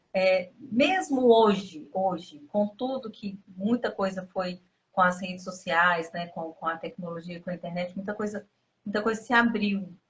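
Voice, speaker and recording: A woman with a somewhat breathy, medium-pitched voice, ordinary pitch variation and a fairly slow pace. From Minas Gerais, Brazil. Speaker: interviewee, abuse survivor. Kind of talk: interview testimony.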